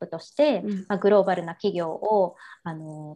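The speaker is a woman. Her voice sits at medium pitch. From Japan, Kansai. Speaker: women's support business founder. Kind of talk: interview.

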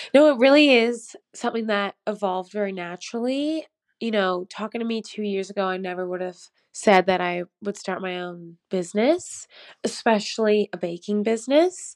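The speaker has an ordinary speaking voice with a Canadian accent, ordinary pitch variation, and a moderate pace. The recording is very clean with a silent background and a dry, close sound with no echo. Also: woman, medium pitch for a woman. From Canada, near Toronto. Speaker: pastry chef and farmer. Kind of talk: casual chat.

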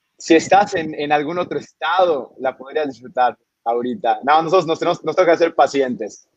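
A man with a fairly high pitch talks at a fairly quick pace, varying his pitch in an ordinary way. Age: 20s. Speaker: brewery director. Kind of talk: interview. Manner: talkative, many fillers.

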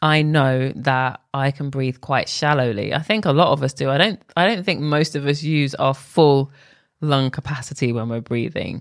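Fairly slow speech from a woman, pitched very deep and low. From UK. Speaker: beauty podcaster. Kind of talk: solo narration.

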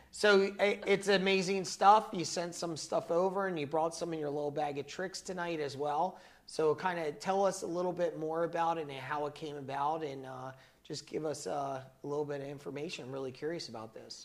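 An American-accented man talks at a fairly quick pace, his fairly high voice showing ordinary pitch variation. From New Jersey (south). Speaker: talk show host. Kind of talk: casual chat. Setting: studio. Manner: animated.

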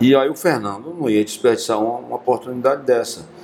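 Over noticeable background noise, a man speaks at medium pitch. His pace is moderate and his pitch varies in an ordinary way. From Brazil, Piauí (Teresina). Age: 60s. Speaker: musician. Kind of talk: casual interview. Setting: podcast. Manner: repetitive stammering.

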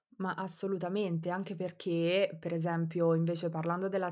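On a very clean recording with a silent background, a woman talks in a fairly low pitch with monotone, flat intonation. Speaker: criminologist. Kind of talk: explanatory discussion. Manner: hesitant, many fillers.

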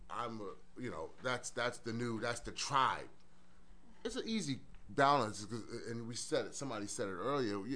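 A man speaks at a moderate pace in a medium pitch, his bright, sharp tone and fairly even intonation carrying audible room echo. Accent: New York. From Brooklyn, New York. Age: 40s. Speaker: former police officer and social work student. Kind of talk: casual chat. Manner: halting, many repeated words.

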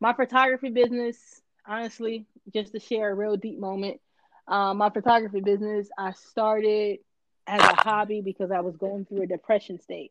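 Fairly quick speech from a woman at a medium pitch. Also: fairly even intonation. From Florida. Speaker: creative entrepreneur and photographer. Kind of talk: casual interview.

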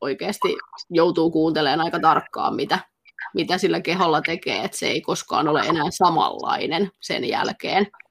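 In an ordinary speaking voice, a woman with a fairly low pitch talks at a moderate pace with fairly even intonation. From Finland, Pirkanmaa (Kangasala). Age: 30s. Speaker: dance instructor. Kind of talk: interview.

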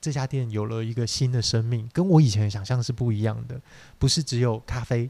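The voice is somewhat breathy with a dark, mellow tone, moving at a fairly quick pace in a very clean recording with a silent background. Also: man. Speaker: podcast co-host, small business owner. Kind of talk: casual chat.

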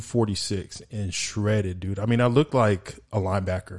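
A man with an American accent talks at a moderate pace in an ordinary speaking voice, with fairly even intonation. The background is quiet. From El Paso, Texas. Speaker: sports podcast host, former college football player. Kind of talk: casual chat.

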